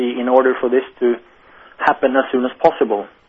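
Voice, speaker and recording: A man speaks with a Norwegian accent. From Norway. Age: young. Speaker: management consultant. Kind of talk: interview. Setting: phone call.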